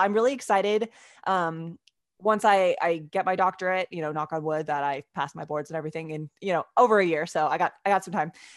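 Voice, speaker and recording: Over a quiet background, a woman speaks very fast with lively intonation, the sound dry and close with no echo. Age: 30s. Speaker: physical therapy student and athletic trainer. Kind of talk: casual interview. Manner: many fillers like um and like.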